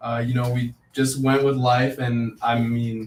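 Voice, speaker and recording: A man's medium-pitched voice with a Spanish accent. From United States, Mexican-American family. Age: young. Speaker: real estate agent. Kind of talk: live stream interview. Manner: halting, many fillers.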